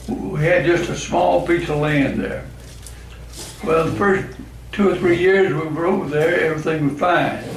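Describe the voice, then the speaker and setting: Amid noticeable background noise and audible room echo, a man with a Southern US accent talks at a moderate pace in a fairly high pitch, with fairly even intonation and long, frequent pauses. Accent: Southern US (Georgia). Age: 80s+. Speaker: club member. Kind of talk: after-dinner talk.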